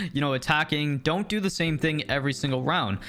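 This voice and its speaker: A man with a Canadian accent speaks with ordinary pitch variation amid noticeable background noise. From Canada. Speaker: gaming YouTuber. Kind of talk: gaming tips commentary. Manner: casual, filler-heavy.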